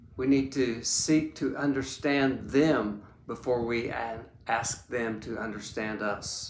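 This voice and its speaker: There is audible room echo around a man's voice. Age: 70s. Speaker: leadership coach and speaker. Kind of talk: talk to camera about a book. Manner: halting, with repeated words.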